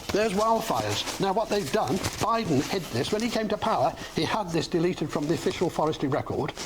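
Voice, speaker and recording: A woman's very fast speech with lively intonation and very even loudness, over noticeable background noise. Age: 70s. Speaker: retired water resource engineer, TV news guest. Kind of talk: TV interview.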